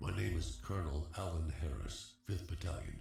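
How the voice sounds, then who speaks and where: This is a put-on character voice. A slight echo can be heard. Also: man, very deep, low pitch for a man, moderate pace. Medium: voice reel. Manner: curt, military.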